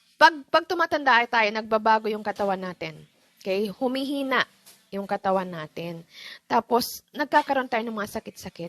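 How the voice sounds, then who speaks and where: A woman with a fairly high pitch and lively intonation speaks at a moderate pace, her loudness swinging widely, in a dry, close recording with no echo and a quiet background. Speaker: livestream host giving money tips. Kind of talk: casual livestream talk. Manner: calm; chatty, code-switching Taglish.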